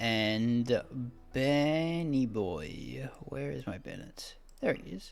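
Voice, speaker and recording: Soft-spoken and very slow, the voice shows very wide pitch swings and big swings in loudness. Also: man, medium pitch for a man. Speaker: gaming YouTuber. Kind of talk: game tutorial. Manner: halting.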